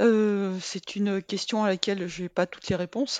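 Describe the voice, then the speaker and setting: A woman with an ordinary speaking voice talks at a medium pitch and a moderate pace, her intonation fairly even. The sound is dry and close with no echo, over a quiet background. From Brittany, France. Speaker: sports medicine doctor and professor. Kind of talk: interview.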